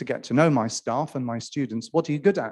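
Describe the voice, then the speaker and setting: Against a quiet background, a man with a Welsh accent speaks in a fairly high pitch with ordinary variation. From Wales. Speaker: academic panelist. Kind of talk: conference panel talk.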